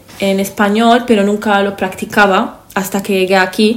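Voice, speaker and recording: A woman talks at a moderate pace in a flat monotone. Her voice carries audible room echo. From Lebanon. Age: 20s. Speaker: podcast co-host, interior architect. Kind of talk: casual chat. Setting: seated at a table.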